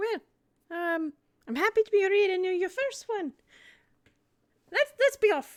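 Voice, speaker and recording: A woman in a squeaky, put-on character voice of extremely high pitch uses lively intonation at a moderate pace, with long, frequent pauses. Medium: actual play.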